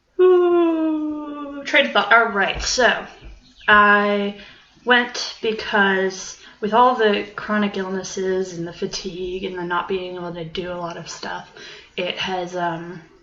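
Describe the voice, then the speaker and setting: Speaking very slowly at a medium pitch, a woman uses lively intonation and big swings in loudness, with audible room echo and noticeable background noise. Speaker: podcaster and university student. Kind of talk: casual monologue. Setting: at home. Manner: rambling, many filler ums.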